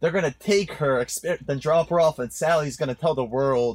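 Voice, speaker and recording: A man talks with a New Jersey accent at a fairly quick pace. His voice is somewhat breathy, with ordinary pitch variation. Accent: New Jersey American. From New Jersey, born in Poland, moved at nine. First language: Polish. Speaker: podcast guest, marketing tech professional. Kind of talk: casual chat. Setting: studio.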